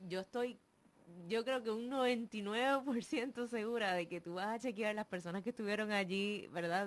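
Here is a woman with an unremarkable speaking voice. Her pitch is fairly high and varies in an ordinary way. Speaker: radio co-host. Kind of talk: live radio talk show.

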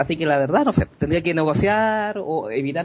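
Here a man speaks with a high pitch at a moderate pace. His pitch varies in an ordinary way. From Chile. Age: 30s. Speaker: gaming blogger. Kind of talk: interview.

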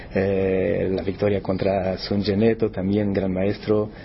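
At a fairly slow pace, a man with a fairly low pitch talks in an ordinary speaking voice. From Brazil, São Paulo. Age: 50s. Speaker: chess tournament organizer. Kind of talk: interview.

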